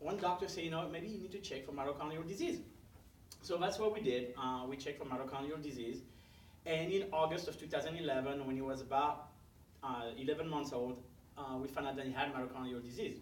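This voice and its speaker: Amid noticeable background noise and audible room echo, a man with a French accent speaks at a fairly quick pace in a fairly high pitch with ordinary pitch variation. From France. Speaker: parent advocate. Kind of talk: talk. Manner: many fillers (uh, um).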